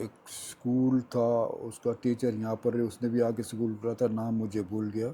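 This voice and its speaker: A man of medium pitch speaks with a dark, mellow tone and monotone, flat intonation. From Dera Ghazi Khan, Pakistan. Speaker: retired banker. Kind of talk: oral history interview answer.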